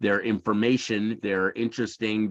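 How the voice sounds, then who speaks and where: A man's fairly low voice at a moderate pace, a plain, everyday voice. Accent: American. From USA. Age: 60s. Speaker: emotional intelligence teacher. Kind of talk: lecture. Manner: casual, conversational with many fillers.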